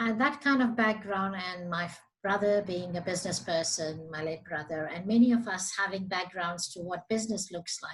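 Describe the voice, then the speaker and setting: Somewhat breathy, a woman talks with hardly any pauses. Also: medium pitch for a woman, ordinary pitch variation, moderate pace. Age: 60s. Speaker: business association CEO. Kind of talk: interview.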